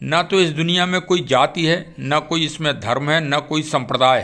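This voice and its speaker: A man's fairly high-pitched, a plain, everyday voice, with ordinary pitch variation, on a very clean recording with a silent background. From Bundelkhand, Uttar Pradesh (Orai). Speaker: YouTuber, police perspective commentator. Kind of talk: monologue talk / commentary. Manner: formal.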